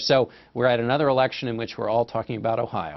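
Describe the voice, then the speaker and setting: A man talks at a very fast pace and medium pitch with fairly even intonation, music playing in the background. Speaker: political correspondent. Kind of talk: news analysis answer to anchor. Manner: conversational with filler words.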